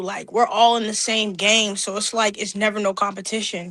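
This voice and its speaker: Very fast speech runs along with fairly even intonation. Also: woman. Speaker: rapper and singer. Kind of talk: podcast interview. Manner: warm.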